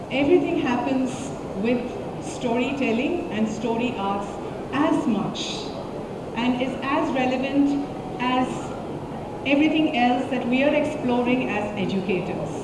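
Background noise is loud and the room echo audible as a woman speaks at a fairly slow pace with ordinary pitch variation and long, frequent pauses. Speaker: storyteller, conference speaker. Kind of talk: conference talk. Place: hall.

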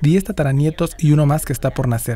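A man with a fairly high pitch and a dark, mellow tone speaks somewhat breathily, using ordinary pitch variation. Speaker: news narrator. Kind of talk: TV news narration.

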